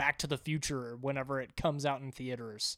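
On a very clean recording with a silent background, a man has an unremarkable speaking voice, pitched fairly high, with fairly even intonation. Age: young. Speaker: podcast guest. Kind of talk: casual chat.

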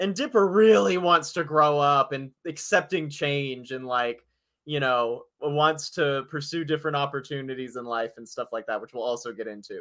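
A man speaks at a fairly high pitch with a bright, sharp tone. His loudness swings widely in a very clean recording with a silent background. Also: ordinary pitch variation, moderate pace. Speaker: podcast co-host. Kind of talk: casual chat.

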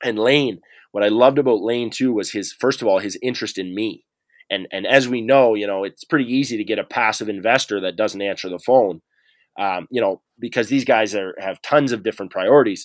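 A man with a Maritime Canadian accent, medium in pitch, at a fairly quick pace, with ordinary pitch variation against a quiet background. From rural New Brunswick, Canada. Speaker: entrepreneur, former hockey player. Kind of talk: interview. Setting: office.

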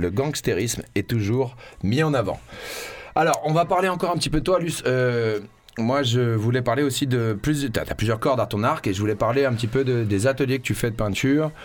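A man with an ordinary speaking voice talks at a fairly quick pace, with ordinary pitch variation and very even loudness. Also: medium pitch for a man. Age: 30s. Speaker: radio host. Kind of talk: casual chat.

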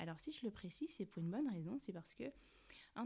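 Her tone is dark and mellow, and this woman's voice comes out somewhat breathy. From Cameroon. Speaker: podcast host. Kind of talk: casual monologue.

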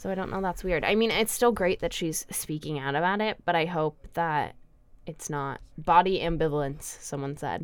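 This woman has an unremarkable speaking voice, fairly low in pitch with ordinary pitch variation at a moderate pace. The recording is very clean, with a silent background. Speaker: student radio co-host. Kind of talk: casual chat. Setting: studio.

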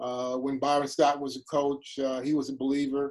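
Speaking with an American accent, this man has a fairly high pitch. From US Midwest, Cleveland. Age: 60s. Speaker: pastor and sports team chaplain. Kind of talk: interview testimony. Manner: halting, many fillers.

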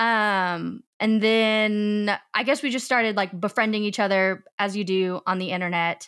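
A woman with an American accent talks at a fairly slow pace and a medium pitch, with hardly any pauses. She has an unremarkable speaking voice. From US South (Arkansas). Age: 20s. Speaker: podcast guest, office worker. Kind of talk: casual chat. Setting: remote video recording. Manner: giggly, upbeat.

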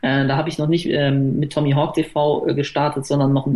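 Fairly high-pitched male speech at a fairly quick pace amid noticeable background noise. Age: 30s. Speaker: YouTuber making sports game let's plays. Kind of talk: casual chat.

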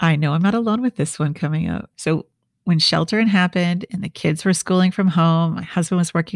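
A woman with an American accent and an unremarkable speaking voice talks at a fairly quick pace and fairly low pitch. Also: dry, close sound with no echo, very clean recording, silent background. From Minnesota, US Midwest. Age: 50s. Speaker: podcast host and leadership coach. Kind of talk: solo podcast monologue.

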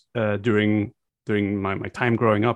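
This man has a Flemish accent and a medium pitch. His intonation stays fairly even. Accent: Flemish Dutch accent in English. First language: Dutch. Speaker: content creator. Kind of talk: casual interview chat.

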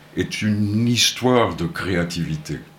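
A man's fairly low voice with very wide pitch swings and audible room echo. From Portugal, Porto. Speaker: music centre founder. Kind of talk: radio interview. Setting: studio.

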